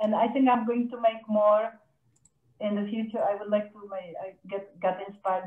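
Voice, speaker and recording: The speech moves at a moderate pace with fairly even intonation and a Czech accent. Room echo is audible. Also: woman. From Czech Republic. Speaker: glass artist. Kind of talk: online artist presentation. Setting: video call. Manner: halting. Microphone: video call.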